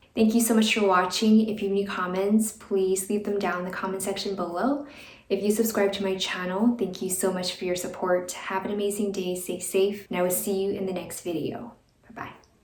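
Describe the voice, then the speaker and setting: A woman's medium-pitched, monotone, flat voice, with audible room echo and noticeable background noise. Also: fairly quick pace. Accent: American. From United States. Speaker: expat vlogger. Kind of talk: casual vlog talk to camera.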